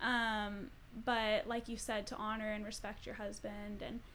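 In an American accent, the delivery comes at a fairly slow pace. It is an ordinary speaking voice. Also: woman. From Colorado. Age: 20s. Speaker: social work graduate student. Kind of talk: casual chat.

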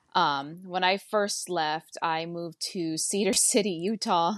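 A woman speaks with a Hawaiian accent. The sound is dry and close, with no echo. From Hawaii, Oahu. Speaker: medical assistant. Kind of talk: casual interview chat.

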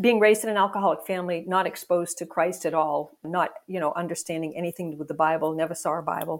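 A woman speaks very fast at a fairly low pitch with hardly any pauses. Her intonation stays fairly even. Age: 70s. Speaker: pastor and ministry founder. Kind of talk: interview, personal testimony.

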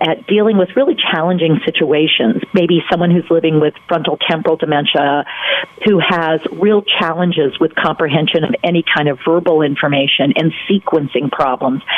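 With lively intonation and a moderate pace, a woman in an American accent speaks at a fairly low pitch over noticeable background noise. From North Carolina. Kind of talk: radio interview. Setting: phone call.

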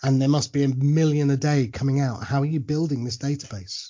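Fairly high in pitch, a man speaks with a somewhat breathy quality. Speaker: radio show host. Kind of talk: casual interview chat.

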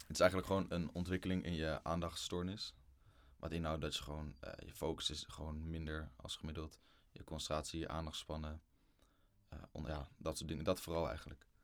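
The speaker moves at a fairly quick pace with fairly even intonation. Vocal fry runs through the voice. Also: man, very deep, low pitch for a man. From Netherlands, Lelystad. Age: 20s. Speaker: student. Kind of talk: casual chat.

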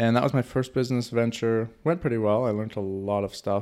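With a Canadian accent, this man talks at a moderate pace, his medium pitch held in fairly even intonation. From Canada. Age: 20s. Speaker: podcast co-host and entrepreneur. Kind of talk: casual chat. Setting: office.

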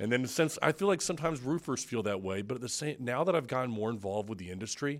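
On a very clean recording with a silent background, a man speaks with an American accent. His medium pitch goes through very wide swings. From Florida, Tampa Bay area. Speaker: podcast host. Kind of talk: casual interview chat. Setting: studio.

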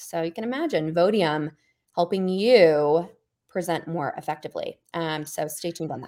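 In an American accent, a woman speaks at a fairly low pitch with a dark, mellow tone and ordinary pitch variation, on a very clean recording with a silent background. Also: moderate pace. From US South. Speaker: podcast co-host and company co-founder. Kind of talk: casual chat.

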